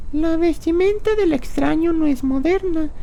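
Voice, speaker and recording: Someone uses a put-on character voice at a fairly slow pace, with clear background noise behind it. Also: woman. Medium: audio drama.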